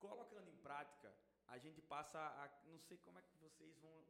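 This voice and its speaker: A man speaks at a moderate pace with vocal fry. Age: 20s. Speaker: paid traffic manager. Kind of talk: casual chat.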